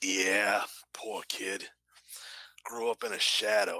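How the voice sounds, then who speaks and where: Using a put-on character voice, a man speaks very slowly in a raspy, fairly low pitch. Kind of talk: folksy small-town talk. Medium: actual play. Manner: rambling, hesitant, full of filler words.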